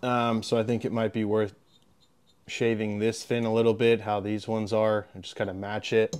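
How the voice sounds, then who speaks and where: A man talks at a moderate pace. There is music in the background. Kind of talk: casual DIY tutorial narration. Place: garage. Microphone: phone near.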